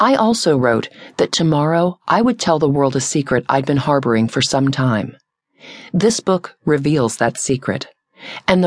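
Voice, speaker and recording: Recorded dry and close with no echo, a woman with a very deep, low pitch talks at a moderate pace. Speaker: audiobook narrator. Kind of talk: dramatic audiobook narration, first-person memoir.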